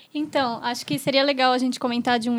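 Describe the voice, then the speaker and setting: The speaker is a woman. Her pitch is high. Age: 20s. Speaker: midwife. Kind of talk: casual chat.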